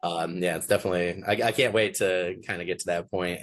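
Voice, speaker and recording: A man with a very deep, low pitch talks at a very fast pace in monotone, flat intonation. The background is quiet. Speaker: podcast host. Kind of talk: interview. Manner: casual, filler-heavy.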